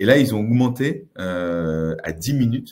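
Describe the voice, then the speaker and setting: A man talks with lively intonation. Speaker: tech consultant, company founder. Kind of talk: presentation webinar. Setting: office, recorded webinar. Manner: hesitant, many filler sounds.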